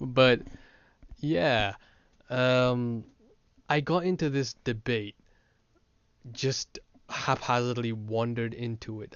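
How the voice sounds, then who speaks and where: A man's voice at a medium pitch. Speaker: philosophy YouTuber. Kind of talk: casual monologue. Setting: audio-only recording. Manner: rambling, hesitant with fillers.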